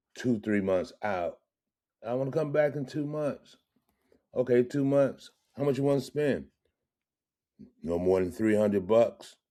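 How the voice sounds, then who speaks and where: A man's medium-pitched voice, dark and mellow in tone, at a fairly slow pace with long, frequent pauses and ordinary pitch variation. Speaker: funk musician and podcast host. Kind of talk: casual chat. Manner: loud.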